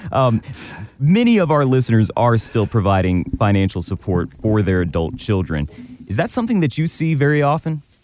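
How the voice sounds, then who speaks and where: A man's medium-pitched voice at a fairly quick pace, very even in loudness, with very wide pitch swings over background music. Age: 30s. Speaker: radio co-host. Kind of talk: casual chat.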